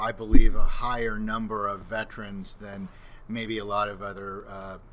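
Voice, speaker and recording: With an American accent, a man of fairly low pitch speaks at a moderate pace in a bright, sharp tone and monotone, flat intonation, with audible room echo. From Southern California. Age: 60s. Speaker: mental health clinician. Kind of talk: interview podcast. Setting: live on-location recording at a conference.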